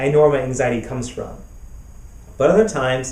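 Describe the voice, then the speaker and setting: A somewhat breathy male voice with audible room echo. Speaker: therapist and author. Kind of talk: recorded talk. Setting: web summit video. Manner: halting, repeats words.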